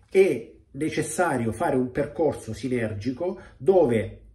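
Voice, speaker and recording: A man talks at medium pitch with lively intonation. His tone is dark, mellow and somewhat breathy. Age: 50s. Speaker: weight-loss coach. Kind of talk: video monologue. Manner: direct. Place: home room. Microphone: phone near.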